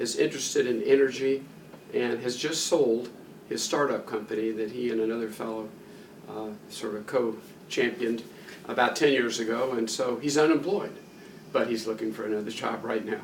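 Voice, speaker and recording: In an American accent, a man talks at medium pitch and a moderate pace with ordinary pitch variation, amid audible room echo and noticeable background noise. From Kentucky, US South. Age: 70s. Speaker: retired plastic surgeon. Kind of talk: interview. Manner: hesitant, many fillers.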